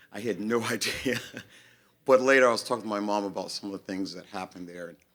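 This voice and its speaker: With an American accent and an unremarkable speaking voice, a man talks fairly quickly at a fairly low pitch with ordinary pitch variation. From US South, North Carolina. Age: 60s. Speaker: singer-songwriter. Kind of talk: song introduction to audience.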